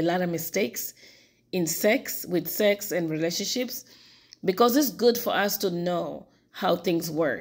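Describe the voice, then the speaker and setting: A woman speaks with a Portuguese accent in a very clean recording with a silent background. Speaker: YouTuber commenting on TV. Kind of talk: casual vlog commentary. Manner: halting with self-corrections.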